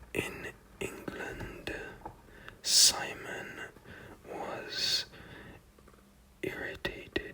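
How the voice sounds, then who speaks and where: The speaker whispers at a very slow pace, pausing long and often. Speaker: ASMR content creator. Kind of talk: ASMR book reading, relaxing whispers. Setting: close microphone setup with audible breaths. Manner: whispered, soft-spoken, slow.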